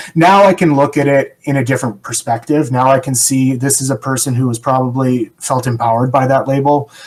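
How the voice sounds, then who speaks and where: With a plain, everyday voice, a man with a Canadian accent talks at a fairly quick pace and medium pitch, with fairly even intonation and hardly any pauses. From Canada. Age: 40s. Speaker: person in long-term recovery. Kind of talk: podcast interview.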